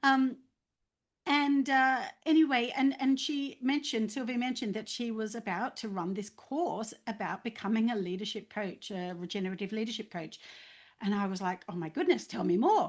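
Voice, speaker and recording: In front of a quiet background, a voice with an Australian accent carries lively intonation. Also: woman, fairly high pitch for a woman, moderate pace. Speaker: leadership coach. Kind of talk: testimony. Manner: halting, many fillers.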